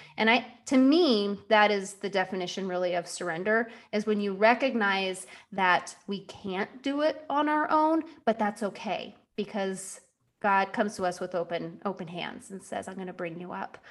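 A woman with a plain, everyday voice at medium pitch, moderate pace and lively intonation, her loudness swinging widely, on a very clean recording with a silent background. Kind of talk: podcast interview, scripted intro.

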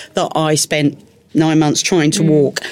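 A woman with a Cockney accent. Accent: London Cockney. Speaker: Paralympic athlete and bombing survivor. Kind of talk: interview testimony.

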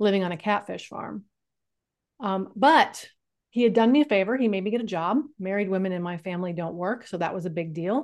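Against a quiet background, a woman with an American accent and a normal speaking voice talks at a fairly quick pace and medium pitch with ordinary pitch variation. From California. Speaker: life coach and author. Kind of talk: interview.

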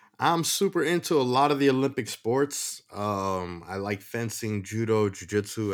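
A plain, everyday voice: a man with an American accent at a moderate pace, ordinary pitch variation, in a very clean recording with a silent background. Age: 30s. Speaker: podcast host. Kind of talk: casual chat.

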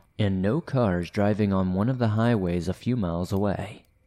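This man has an American accent and a fairly low pitch. He speaks at a fairly slow pace in a dark, mellow tone. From US South. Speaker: horror story narrator. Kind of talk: reading aloud.

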